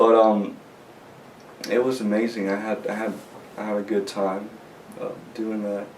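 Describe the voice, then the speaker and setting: Amid noticeable background noise and audible room echo, a man speaks at a fairly low pitch in a monotone, flat intonation, leaving long, frequent pauses. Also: moderate pace. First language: not English. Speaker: graduate music student. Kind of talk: interview. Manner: halting, many repetitions and fillers.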